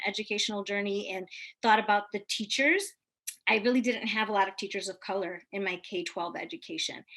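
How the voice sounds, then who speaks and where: With a Spanish accent, a woman speaks at a fairly quick pace in a bright, sharp tone, with a fairly high pitch and ordinary pitch variation. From Hempstead, New York. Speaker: teacher. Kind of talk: panel discussion.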